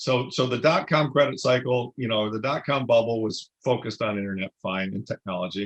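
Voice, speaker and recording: With an American accent and a plain, everyday voice, a man speaks at a medium pitch with ordinary pitch variation and hardly any pauses, in a dry, close sound with no echo. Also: fairly quick pace. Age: 60s. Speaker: investment fund manager. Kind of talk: interview.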